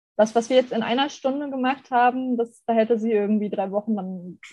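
Her tone dark and mellow, a woman speaks at a moderate pace with a fairly high pitch and fairly even intonation. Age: 30s. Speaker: graphic designer. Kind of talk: casual chat.

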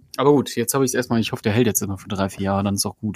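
A man speaks with ordinary pitch variation. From northern Germany, Osnabrück. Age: 30s. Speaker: fellow podcaster, guest. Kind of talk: casual chat.

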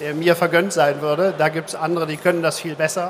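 A man's fairly high-pitched voice at a moderate pace, with monotone, flat intonation. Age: 50s. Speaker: insurance executive. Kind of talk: live stage interview. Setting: conference stage with audience.

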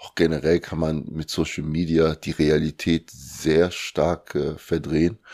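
Very deep and low, a man's dark, mellow voice moves at a very slow pace in a flat monotone, with big swings in loudness, in a dry, close recording with no echo and a very clean, silent background. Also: hardly any pauses. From Germany (Lower Saxony, then Cologne), born in Congo. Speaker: bodybuilding athlete and coach. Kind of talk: interview.

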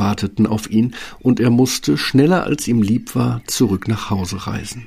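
Speaking at a fairly slow pace, a man with a medium pitch shows vocal fry. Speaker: fairy tale narrator. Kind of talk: fairy tale narration, scripted storytelling. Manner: animated storyteller, expressive, mimicking sounds like 'Brrr'.

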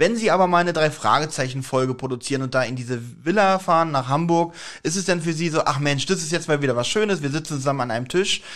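A man talks at a very fast pace with a fairly high pitch and ordinary pitch variation. The background is quiet. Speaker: podcast co-host. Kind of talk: interview.

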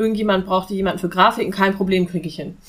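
Her pace very fast, a woman speaks at a medium pitch with ordinary pitch variation and a somewhat breathy sound. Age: 30s. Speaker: business consultant for freelancers. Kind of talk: podcast interview.

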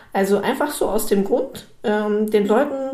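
A woman with a normal speaking voice talks at a moderate pace and a fairly high pitch, with ordinary pitch variation. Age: 20s. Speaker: business consultant. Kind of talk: solo podcast monologue. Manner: casual, filler-heavy.

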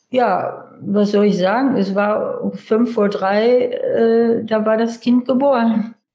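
Somewhat breathy and dark, mellow in tone, a woman speaks with fairly even intonation. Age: 70s. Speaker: interviewee, host's mother. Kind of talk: personal storytelling, voice messages. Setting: voice message or speakerphone.

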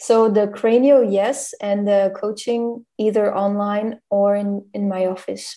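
With a German accent and a dark, mellow tone, a woman speaks at a very slow pace in a monotone, flat delivery with hardly any pauses. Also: medium pitch for a woman. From Germany. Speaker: podcast host. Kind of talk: casual chat.

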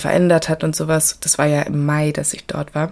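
Speaking fairly slowly, a woman has a very deep, low-pitched voice. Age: 20s. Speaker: travel podcaster. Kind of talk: casual travel monologue. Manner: animated.

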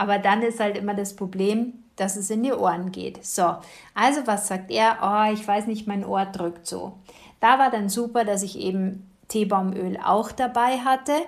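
A woman talks at a fairly slow pace in a normal speaking voice. Her medium pitch has fairly even intonation. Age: 50s. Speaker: podcast host, kinesiologist and essential oils advisor. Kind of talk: casual monologue.

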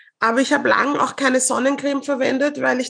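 A woman talks with a high pitch. Her pace is moderate. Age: 40s. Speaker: media professional. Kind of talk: casual chat.

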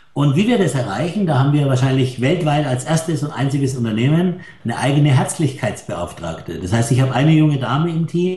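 A fairly high, somewhat breathy male voice, dark and mellow in tone. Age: 60s. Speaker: hotelier. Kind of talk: interview.

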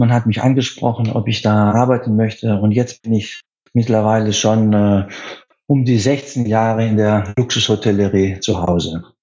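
With a Greek accent, a man speaks at a moderate pace, with a medium pitch, fairly even intonation and very even loudness. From Greece, Athens. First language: Greek (speaking German). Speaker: hotel sales director. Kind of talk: radio interview.

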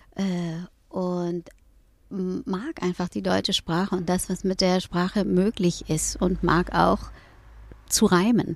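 Over a silent background in a very clean recording, a woman speaks at medium pitch with fairly even intonation. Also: long, frequent pauses. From Hamburg, northern Germany. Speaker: rapper turned yoga teacher. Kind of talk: interview. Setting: in a VW camper van.

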